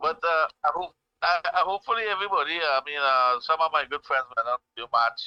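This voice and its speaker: A bright, sharp tone at a fairly quick pace with a Trinidadian accent, in a dry, close sound with no echo. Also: man, fairly high pitch for a man, ordinary pitch variation. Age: 60s. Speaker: caller. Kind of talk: call-in radio chat. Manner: halting, repeats words.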